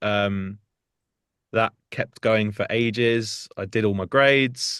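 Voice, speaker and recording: A medium-pitched man with a British accent, in dry, close sound with no echo and a quiet background. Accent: UK. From South Hertfordshire, near North London. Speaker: singer and musician. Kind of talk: interview chat. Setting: studio.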